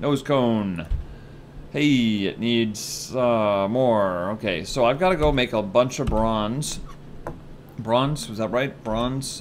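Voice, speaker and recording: A man at a very slow pace over light background noise. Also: ordinary pitch variation. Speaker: gaming video creator. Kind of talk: casual gameplay commentary. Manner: chatty, excitable.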